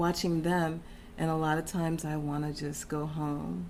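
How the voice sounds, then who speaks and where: With an American accent, a woman speaks at a moderate pace in a very deep, low voice, her intonation fairly even amid audible room echo. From Texas. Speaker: interview guest. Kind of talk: casual interview chat.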